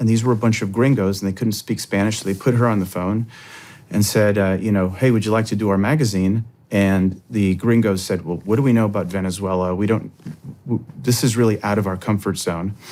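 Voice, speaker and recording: A man's dark, mellow tone at a fairly low pitch, with fairly even intonation and a fairly quick pace, on a very clean recording with a silent background. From Miami, Cuban-American community. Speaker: former World Bank director. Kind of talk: interview conversation. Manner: many filler words, hesitant.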